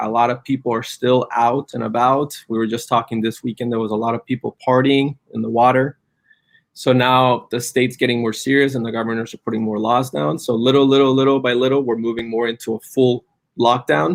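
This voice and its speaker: A man's fairly quick, fairly evenly intoned speech with a Spanish accent. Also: medium pitch for a man. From Colombia, Cali. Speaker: cannabis business entrepreneur. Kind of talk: live stream interview.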